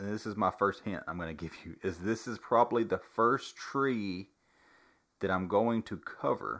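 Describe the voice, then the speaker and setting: In a very clean recording with a silent background, a man with a normal speaking voice and fairly low pitch speaks at a fairly slow pace with ordinary pitch variation. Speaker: podcast host. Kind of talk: casual chat. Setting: home recording with one microphone.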